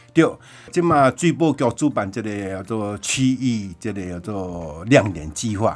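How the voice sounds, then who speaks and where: Over background music, a man speaks fairly slowly at a fairly low pitch, with very wide pitch swings and big swings in loudness. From Taiwan, Chiayi County. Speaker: village chief and coffee farmer. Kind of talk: radio interview. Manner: halting, many fillers.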